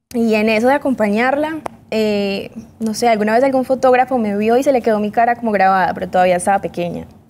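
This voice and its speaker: Over light background noise, a woman talks at a very fast pace in a fairly high pitch with ordinary pitch variation. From Colombia. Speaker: model; interview guest. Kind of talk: interview. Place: studio. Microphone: lapel.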